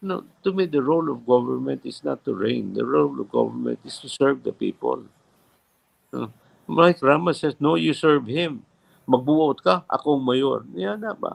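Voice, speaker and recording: The speaker has a Visayan Filipino accent and a moderate pace. The sound is dry and close, with no echo. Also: man, big swings in loudness. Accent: Filipino (Cebuano) English. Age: 70s. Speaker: former mayor, politician. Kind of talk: live interview.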